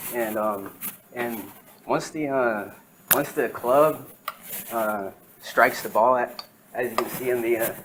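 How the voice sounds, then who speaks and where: A man's medium-pitched, fairly slow speech with fairly even intonation and long, frequent pauses, set against noticeable background noise. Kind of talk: class presentation. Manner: hesitant, many fillers.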